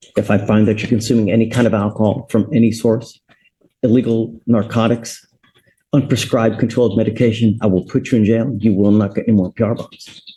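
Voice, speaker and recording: Speaking at a fairly quick pace, a man has a somewhat breathy, dark, mellow tone at medium pitch, with monotone, flat intonation. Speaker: judge. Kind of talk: court hearing. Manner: stern.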